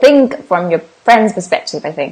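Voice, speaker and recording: A somewhat breathy woman speaks at a very slow pace, her pitch swinging very widely. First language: Vietnamese. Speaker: English exam teacher. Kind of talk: livestream tutorial. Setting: livestream. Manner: casual.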